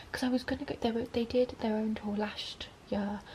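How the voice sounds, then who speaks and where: A woman whispers at a very fast pace. Background noise is noticeable. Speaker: vlogger. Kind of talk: casual vlog chat. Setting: at home, late at night. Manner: whispering.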